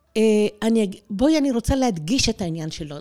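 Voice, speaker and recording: A woman is speaking. Her pitch swings very widely. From Israel (born in Tehran, immigrated at age 4). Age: 60s. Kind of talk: interview.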